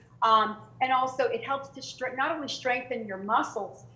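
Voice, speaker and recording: A woman's voice with ordinary pitch variation, in audible room echo. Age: 60s. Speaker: fitness trainer. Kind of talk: interview. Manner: halting, many fillers.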